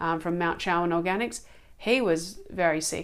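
A woman with an Australian accent, her pitch fairly low and her intonation fairly even, at a moderate pace. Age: 40s. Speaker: organic food advocate. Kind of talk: casual chat.

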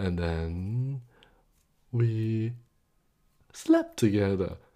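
Somewhat breathy and dark, mellow in tone, a man's voice comes through on a very clean recording with a silent background. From Hong Kong. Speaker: podcast host and musician. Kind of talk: personal monologue. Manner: halting.

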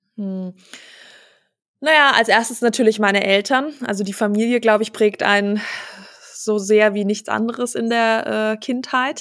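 Speaking at a moderate pace with long, frequent pauses, a woman has a fairly high pitch. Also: fairly even intonation, very clean recording, silent background. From Germany, Hesse (Wiesbaden). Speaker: business owner, family company successor. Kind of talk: casual interview. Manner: many filler sounds, laughs often.

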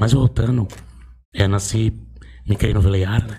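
A man speaks at a fairly low pitch in a dark, mellow tone with vocal fry. His pace is moderate and his pitch varies in an ordinary way. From Brazil, Osasco (São Paulo). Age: 40s. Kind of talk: casual interview.

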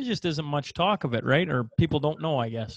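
With lively intonation and vocal fry, a man speaks at a fairly quick pace and a fairly high pitch.

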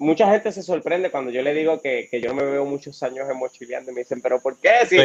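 Speech comes at a very fast pace with hardly any pauses, in a Puerto Rican accent. Background noise is noticeable. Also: man, fairly high pitch for a man, ordinary pitch variation. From Puerto Rico, Florida municipality. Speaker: travel blogger. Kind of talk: interview.

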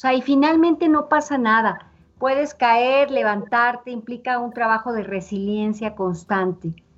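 In a high pitch, a woman speaks at a fairly slow pace. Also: ordinary pitch variation. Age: 50s. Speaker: psychologist. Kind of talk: interview. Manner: halting.

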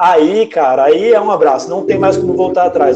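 This man's voice is high-pitched, with a dark, mellow tone. His intonation is lively. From Campo Grande, Mato Grosso do Sul, Brazil. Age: 20s. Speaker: writer. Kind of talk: casual chat.

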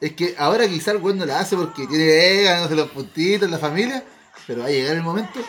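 Over music in the background, a man with a northern Chilean accent talks at a very fast pace in a high pitch and an animated tone. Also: ordinary pitch variation. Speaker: podcast host. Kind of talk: casual chat among friends.

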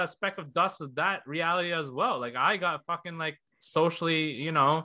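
A man's high, bright, sharp voice at a moderate pace against a quiet background. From Canada. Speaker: podcast host. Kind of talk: casual chat.

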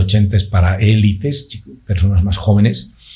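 Very slow, fairly low male speech amid noticeable background noise. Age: 50s. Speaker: orthodontist and amateur cyclist. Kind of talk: casual interview. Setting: studio.

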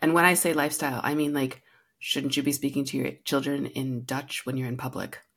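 A woman talks with an American accent. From US Midwest, Rapid City, South Dakota. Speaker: storytelling consultant and educator. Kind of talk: casual interview. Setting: remote call.

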